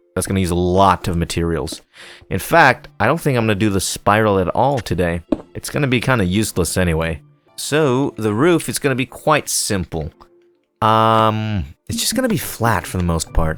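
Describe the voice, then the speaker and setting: A man's fairly low-pitched voice with music in the background. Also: lively intonation, moderate pace. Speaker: gaming commentator. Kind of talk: casual let's play commentary.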